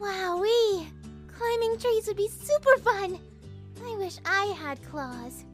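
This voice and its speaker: Putting on a character voice, a woman speaks fairly slowly with clear music in the background. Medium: dub. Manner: upbeat, excited.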